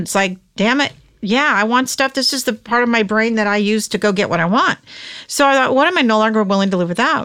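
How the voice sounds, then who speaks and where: A lively voice rises and falls with an American accent. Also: woman. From California. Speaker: author and entrepreneur. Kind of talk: interview.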